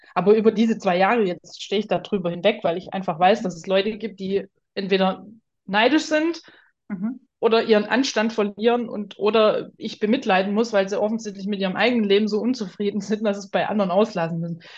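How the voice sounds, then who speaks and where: Against a quiet background, a woman with a medium pitch speaks in a somewhat breathy voice. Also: ordinary pitch variation, fairly quick pace. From Swabia, southern Germany. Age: 30s. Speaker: artist. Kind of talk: interview.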